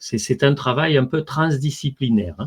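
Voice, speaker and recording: Ordinary pitch variation in a man's speech, set against a quiet background. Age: 60s. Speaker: physicist and author. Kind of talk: interview. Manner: hesitant, many fillers.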